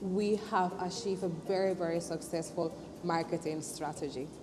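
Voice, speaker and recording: A woman talks at a moderate pace with a non-native accent. Music plays in the background. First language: not English. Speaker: business owner. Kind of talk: interview testimony.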